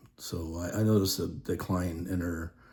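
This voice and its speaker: A man speaks in a very deep, low voice that is somewhat breathy. His intonation stays fairly even. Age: 60s. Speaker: widower sharing grief experience. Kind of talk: personal testimony monologue. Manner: halting, many fillers.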